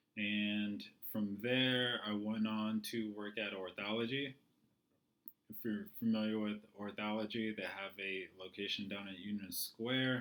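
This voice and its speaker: At a fairly slow pace, a man with a fairly low pitch speaks in a monotone, flat intonation. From California (Joshua Tree). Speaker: physical therapist. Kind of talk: lecture. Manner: hesitant, many fillers.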